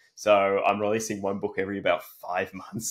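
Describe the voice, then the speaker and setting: This man's Australian accent comes through on a very clean recording against a silent background. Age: 30s. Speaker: fantasy author. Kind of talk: interview; reading aloud. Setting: podcast.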